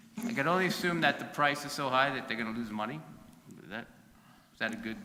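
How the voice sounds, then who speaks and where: A man's fairly high voice at a very fast pace, with very wide pitch swings, big swings in loudness, audible room echo and noticeable background noise. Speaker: city council member. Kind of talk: public meeting discussion. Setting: council chamber meeting. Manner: halting.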